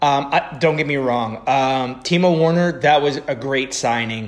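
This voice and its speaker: Speaking at a fairly slow pace, a man talks with a Mid-Atlantic American accent. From US Mid-Atlantic, Frederick, Maryland. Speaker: football podcast co-host. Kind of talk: casual chat.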